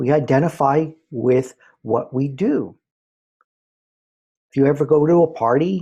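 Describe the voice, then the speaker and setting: Somewhat breathy and fairly high-pitched, a man with an American accent talks in a dark, mellow tone with ordinary pitch variation. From New York. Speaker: spiritual teacher, former college professor. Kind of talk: spiritual talk. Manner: conversational.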